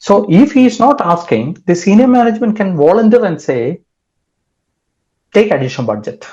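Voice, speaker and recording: Over a quiet background, a man with a Kerala accent talks at a moderate pace in a high pitch and a dark, mellow tone, his voice swinging very widely in pitch and broken by long, frequent pauses. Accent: Indian English (Kerala). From Kerala, India. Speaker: cybersecurity expert. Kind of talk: interview.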